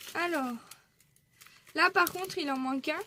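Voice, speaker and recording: A woman with lively intonation. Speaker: scrapbooking YouTuber. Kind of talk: casual haul video.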